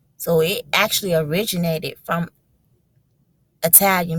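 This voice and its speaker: Fairly low in pitch and somewhat breathy, a woman speaks in an animated tone. The sound is dry and close with no echo. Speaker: religious video blogger. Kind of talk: casual monologue.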